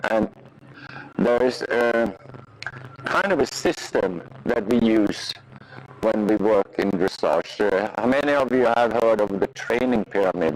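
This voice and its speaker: Fairly slow speech in a Swedish accent, with ordinary pitch variation, very even loudness, long, frequent pauses and noticeable background noise. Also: man, medium pitch for a man. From Sweden. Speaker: riding instructor. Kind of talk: clinic lesson teaching. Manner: halting, many fillers.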